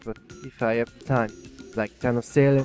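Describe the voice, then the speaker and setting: Music plays in the background while the voice sounds dry and close, with no echo. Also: man. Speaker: gaming YouTuber. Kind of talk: casual talk to camera. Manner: hesitant, many fillers.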